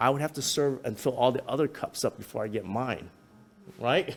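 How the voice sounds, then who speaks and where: A man speaks at a fairly quick pace with a Cantonese accent. His pitch sits fairly high. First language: Toisan Chinese. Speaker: local business owner's son recalling family history. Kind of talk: community history talk.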